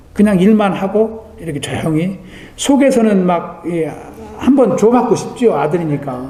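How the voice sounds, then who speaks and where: The voice moves through very wide pitch swings at a fairly slow pace, with noticeable background noise and audible room echo. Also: man. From Korea. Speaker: pastor. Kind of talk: sermon.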